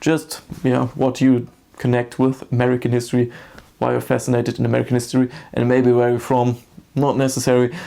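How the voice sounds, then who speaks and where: A man with a German accent, medium pitch, a dark, mellow tone, a fairly quick pace and monotone, flat intonation. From Germany, small town. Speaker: history YouTuber. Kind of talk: personal vlog monologue. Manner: halting.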